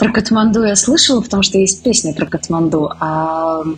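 A woman speaks at a fairly quick pace and medium pitch with ordinary pitch variation. Noticeable background noise is present. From Moscow, Russia. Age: 30s. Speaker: literary editor. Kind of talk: interview.

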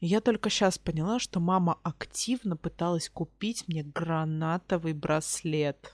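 A woman speaks at a fairly slow pace with hardly any pauses and a fairly low pitch. The sound is dry and close, with no echo. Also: ordinary pitch variation. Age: 20s. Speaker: podcast co-host. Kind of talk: casual chat. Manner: direct, outspoken.

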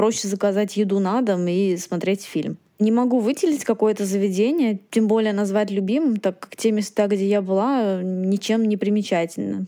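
A woman's dark, mellow voice at a medium pitch, with ordinary pitch variation and a moderate pace. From Moscow. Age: 20s. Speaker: listener, recruiter. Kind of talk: recorded listener request.

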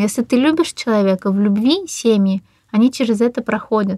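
A woman speaks with a dark, mellow tone, fairly high in pitch and somewhat breathy, with ordinary pitch variation. The sound is dry and close, with no echo. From Russia, Ufa. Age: 30s. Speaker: energy practitioner, divorced mother. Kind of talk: casual interview.

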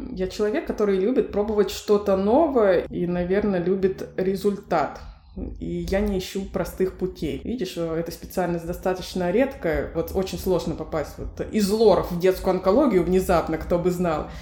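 With an unremarkable speaking voice, a woman talks at a moderate pace in a medium pitch. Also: ordinary pitch variation. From Russia, Novosibirsk. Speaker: pediatric oncologist. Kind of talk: interview.

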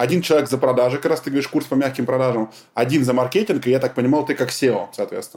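Very fast delivery with ordinary pitch variation. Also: man. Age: 30s. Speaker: podcast host and entrepreneur. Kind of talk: casual interview chat.

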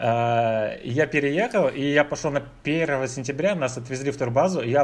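An ordinary speaking voice from a man, fairly high in pitch, with ordinary pitch variation. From Russia. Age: 30s. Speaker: IT evangelist. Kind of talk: casual chat.

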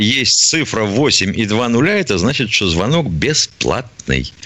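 A man with a medium-pitched voice talks with lively intonation, hardly any pauses and very even loudness, over noticeable background noise. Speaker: radio co-host, retired army colonel. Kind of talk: call-in radio show. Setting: studio.

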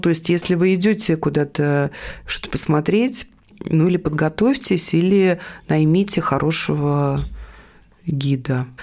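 Lively intonation marks this woman's fairly low-pitched voice, an ordinary speaking voice. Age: 50s. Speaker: art newspaper editor. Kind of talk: interview.

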